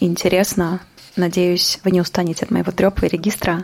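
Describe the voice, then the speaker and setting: Noticeable background noise sits behind a woman speaking at a moderate pace. Her medium-pitched voice is monotone, with flat intonation. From Kazakhstan (Almaty). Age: 30s. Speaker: poet and podcast host. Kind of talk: personal monologue podcast. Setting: on the move around the city, home at start.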